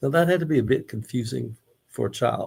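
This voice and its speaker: The speaker has a Mississippi accent and a somewhat breathy voice. The pace is moderate. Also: man. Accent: Southern US (Mississippi). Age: 70s. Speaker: Elvis researcher and local historian. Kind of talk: book club discussion. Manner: conversational with hesitations.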